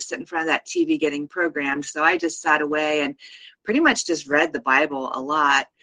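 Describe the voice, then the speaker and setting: Bright and sharp in tone, a woman talks at a fairly quick pace, the sound dry and close with no echo. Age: 50s. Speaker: show regular sharing arrest story. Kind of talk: testimony.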